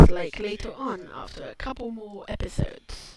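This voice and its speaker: The quiet voice keeps a moderate pace over noticeable background noise. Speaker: video essayist. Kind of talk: video commentary. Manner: halting.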